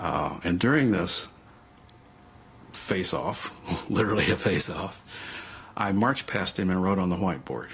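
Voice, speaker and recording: A man with a Southwestern US accent speaks at a moderate pace, his very deep, low pitch carrying vocal fry. His intonation is lively and his loudness very even, with long, frequent pauses. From US Southwest. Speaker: Pixar co-founder, interviewee. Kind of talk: documentary interview. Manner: animated.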